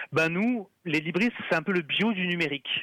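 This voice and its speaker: Bright and sharp in tone, a man talks at a high pitch with ordinary pitch variation. He speaks at a fairly slow pace, and the sound is dry and close with no echo. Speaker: communications officer at a free-software nonprofit. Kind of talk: radio interview. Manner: talkative.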